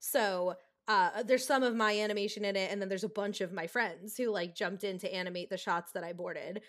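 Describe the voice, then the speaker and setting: Talking at a very fast pace, a woman with an American accent keeps a medium pitch and fairly even intonation on a very clean recording with a silent background. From US Northeast, rural New Jersey. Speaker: storyboard artist and director. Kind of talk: casual interview chat.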